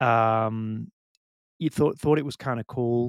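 A man with a British accent speaks at a medium pitch with fairly even intonation. The sound is dry and close with no echo, on a very clean recording with a silent background. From UK. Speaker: bitcoin meetup organizer. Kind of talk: casual chat. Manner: halting.

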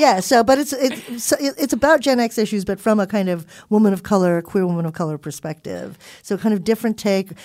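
At a very fast pace, a woman with a medium pitch talks with lively intonation in a very clean recording with a silent background. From Philippines and Southern California. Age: 40s. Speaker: college professor and author. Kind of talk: casual chat.

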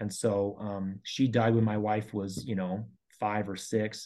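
In a General American accent, a man with a medium pitch and a dark, mellow tone speaks at a fairly slow pace in a flat monotone against a quiet background. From Colorado. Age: 40s. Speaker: elementary school teacher. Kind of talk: interview. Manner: hesitant, many fillers.

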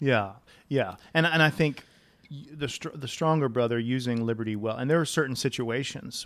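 Medium in pitch, a man talks at a moderate pace. His is an unremarkable speaking voice. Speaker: pastor and podcast host.

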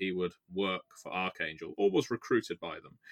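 A British accent in a dry, close sound with no echo. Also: man. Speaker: tabletop game player and podcast co-host. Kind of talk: casual chat. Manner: rambling, jokey.

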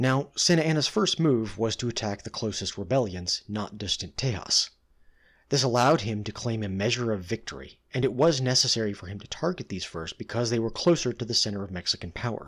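On a very clean recording with a silent background, a man at a medium pitch speaks with lively intonation. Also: fairly quick pace. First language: English (not a Spanish speaker). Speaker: history podcast host. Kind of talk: scripted narration.

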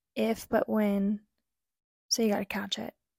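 Soft-spoken and fairly high-pitched, a woman talks at a fairly slow pace in a dry, close sound with no echo on a very clean recording with a silent background. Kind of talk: casual chat.

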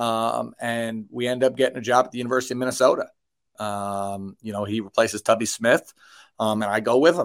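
A man with an American accent talks in a normal speaking voice at medium pitch. His pace is moderate and his intonation fairly even. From New York. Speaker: high school basketball coach. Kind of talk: casual interview. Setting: remote call from home basement.

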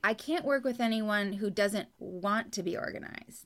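A woman with a Californian accent speaks at a fairly high pitch. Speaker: professional organizer. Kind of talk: interview. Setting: video call.

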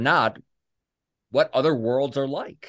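A man's plain, everyday voice at medium pitch, moderate in pace with ordinary pitch variation, against a quiet background. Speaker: podcast host. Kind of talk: interview.

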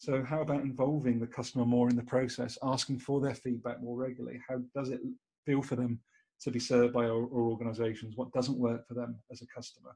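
The voice is somewhat breathy with a dark, mellow tone and a British accent. It runs at a very fast pace with monotone, flat intonation. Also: man, medium pitch for a man. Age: 40s. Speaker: podcast host. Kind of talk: casual chat.

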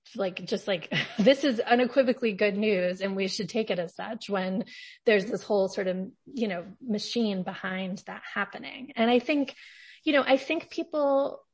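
A woman talks at a moderate pace with a fairly high pitch. Her somewhat breathy voice has lively intonation. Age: 40s. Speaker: podcast host, journalist.

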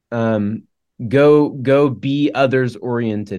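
A normal speaking voice with an American accent and fairly even intonation. The background is quiet. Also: man. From Oklahoma. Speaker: campus minister. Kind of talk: casual conversation. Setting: video call.

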